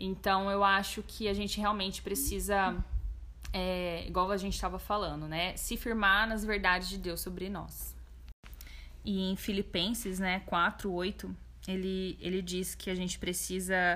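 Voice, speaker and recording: Speaking fairly slowly, a woman is heard with audible room echo. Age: 20s. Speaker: guest sharing testimony of anxiety. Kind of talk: testimony; casual chat.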